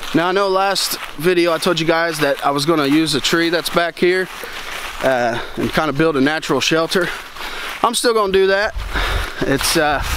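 A man with a high pitch speaks at a moderate pace with ordinary pitch variation, very even loudness, and long, frequent pauses, the sound dry with no echo over noticeable background noise. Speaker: bushcraft vlogger. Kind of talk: casual vlog chat. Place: forest. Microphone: phone near.

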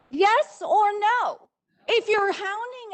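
A woman's extremely high voice at a very slow pace. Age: 60s. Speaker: public commenter. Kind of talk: public comment at council meeting. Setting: council meeting.

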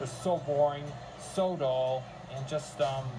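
A man speaks at a slow pace, his medium-pitched voice showing ordinary pitch variation.

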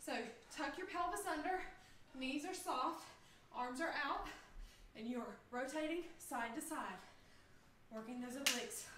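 A woman's high-pitched, lively voice at a fairly slow pace, broken by long, frequent pauses, over noticeable background noise. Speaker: fitness instructor. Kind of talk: live group workout coaching, shouted interval cues. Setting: video call livestream. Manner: high-energy, pushing and urging; upbeat, laughing banter with co-coach. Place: home room. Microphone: camera far.

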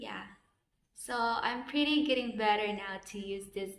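A woman with a Filipino accent speaks at a fairly slow pace amid audible room echo. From Philippines. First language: Filipino language. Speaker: vlogger. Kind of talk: casual vlog, unboxing and tutorial. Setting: outdoors, recording herself on camera. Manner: halting, with fillers and repetitions. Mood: cheerful, relaxed. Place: empty room. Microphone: phone near.

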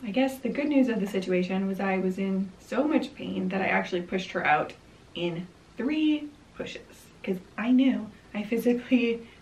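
This woman talks at a moderate pace. Her intonation is lively. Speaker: vlogger. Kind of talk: casual vlog storytelling. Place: home room.

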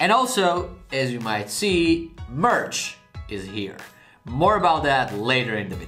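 A man's voice with big swings in loudness and faint music in the background. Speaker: art youtuber. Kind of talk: casual vlog chat. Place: home room.

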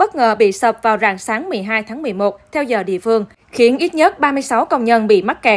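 In a normal speaking voice, a woman talks at a moderate pace and a fairly high pitch, on a very clean recording with a silent background. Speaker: news reader. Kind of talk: news reading.

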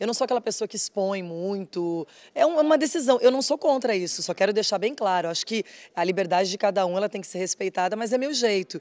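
A woman's medium-pitched voice, fairly quick and with lively intonation, dry and close with no echo. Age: 40s. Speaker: TV sports show presenter. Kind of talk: casual interview. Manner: expressive.

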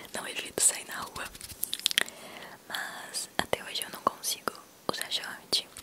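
A woman whispers over noticeable background noise. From Brazil, Minas Gerais. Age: young. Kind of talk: ASMR personal talk. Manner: whispered, soft-spoken.

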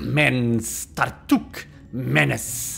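Over clear background noise, a man at medium pitch does a hissing put-on character voice.

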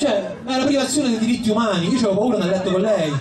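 In a room with audible echo, a man talks fast at a high pitch. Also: ordinary pitch variation.

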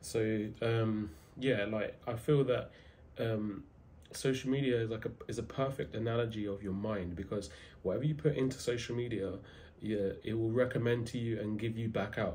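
A man's dark, mellow, somewhat breathy voice with ordinary pitch variation over light background noise. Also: moderate pace. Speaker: self-improvement content creator. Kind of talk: casual motivational talk to camera. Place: home room. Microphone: phone near.

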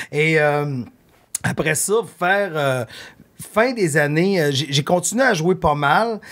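Very slowly, with long, frequent pauses, a man speaks at a fairly high pitch with lively intonation and very even loudness. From Quebec. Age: 50s. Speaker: artist manager and podcaster; podcast guest. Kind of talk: casual chat. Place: studio. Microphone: studio mic.

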